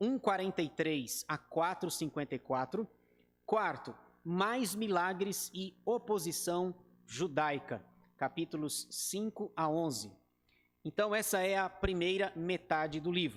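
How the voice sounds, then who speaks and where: Pitched high, a man talks at a very slow pace. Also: ordinary pitch variation. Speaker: pastor. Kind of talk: bible study lecture. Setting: church.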